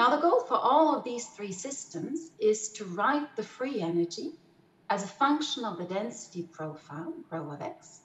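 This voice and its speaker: A woman talks at a fairly slow pace, with audible room echo. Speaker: mathematical physicist presenting. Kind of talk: lecture. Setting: video call. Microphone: webcam.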